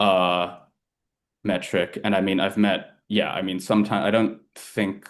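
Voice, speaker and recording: This man speaks in a very deep, low pitch with monotone, flat intonation. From China, after early years in the US. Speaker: polyglot, AI specialist. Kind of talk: casual interview chat. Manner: fast, filler-heavy with many 'like's.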